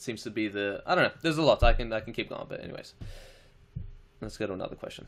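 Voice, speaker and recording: Speaking very fast in an Australian accent, a man sounds animated, with long, frequent pauses and big swings in loudness. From Australia, Chilean family. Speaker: live streamer. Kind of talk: casual live stream Q&A. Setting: live stream reading chat comments. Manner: casual, swearing, animated.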